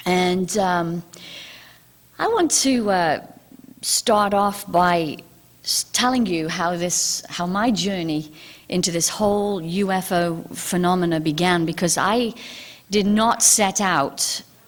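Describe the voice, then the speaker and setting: Speaking very slowly, a woman with a British accent has a fairly low pitch. Her pitch varies in an ordinary way. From England. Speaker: UFO author and TV host. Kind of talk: public talk. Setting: stage with audience. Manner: hesitant, many fillers.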